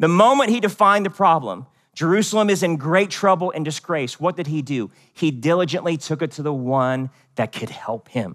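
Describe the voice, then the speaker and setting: A man talks at a moderate pace with an American accent and lively intonation. His is an unremarkable speaking voice, fairly high in pitch. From US, West Virginia. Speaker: pastor. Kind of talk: sermon.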